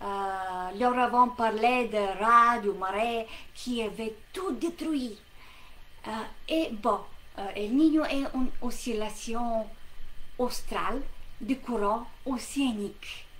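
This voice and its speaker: Speaking at a very slow pace, a woman with a fairly high voice and ordinary pitch variation leaves long, frequent pauses. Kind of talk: educational lesson to camera. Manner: hesitant, many fillers.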